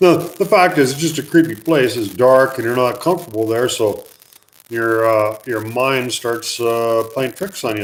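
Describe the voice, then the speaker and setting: At a moderate pace, a man talks at medium pitch with lively intonation. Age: 50s. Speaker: mine explorer and museum owner. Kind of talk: live stream Q&A; storytelling. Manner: casual, hesitant with fillers.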